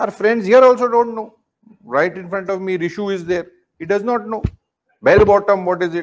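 Pausing long and often, a man with an Indian accent speaks at a high pitch with ordinary pitch variation. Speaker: yoga teacher. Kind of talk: lecture to students with a brief guided closing meditation. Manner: calm, formal, instructive; slow, gentle cues to close eyes and absorb. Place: studio. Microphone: lapel.

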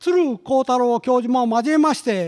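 A man's extremely high-pitched voice at a fairly slow pace against a quiet background. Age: 70s. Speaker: research institute director, economist. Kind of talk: formal opening speech at a symposium. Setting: conference hall with audience. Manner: formal; hesitant with fillers. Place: hall. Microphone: podium.

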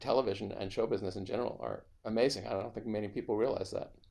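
With an American accent, a man talks in a fairly low, dark, mellow voice with vocal fry and ordinary pitch variation. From New York. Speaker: film composer; interviewee. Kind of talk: casual interview; interview answer. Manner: halting. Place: home room. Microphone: video call.

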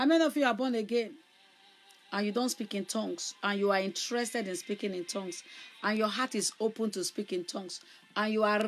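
Faint music sits in the background as the speaker talks at a fairly quick pace with ordinary pitch variation. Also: woman. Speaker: evangelist preacher. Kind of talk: sermon. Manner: loud. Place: home room. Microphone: phone near.

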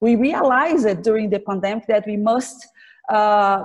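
At a fairly slow pace, a woman with a Portuguese accent speaks at a fairly high pitch with ordinary pitch variation against a quiet background. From Brazil. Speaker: government official and law professor; law professor. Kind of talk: formal interview. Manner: halting, many fillers. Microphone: video call.

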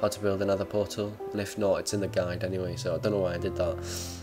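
A man with a fairly low pitch speaks while music plays in the background. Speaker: video gamer. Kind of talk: casual game commentary. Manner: hesitant, many fillers.

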